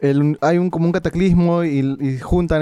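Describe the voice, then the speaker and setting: This man has a dark, mellow tone. He talks at a moderate pace with fairly even intonation. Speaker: video game podcast co-host. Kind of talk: casual chat.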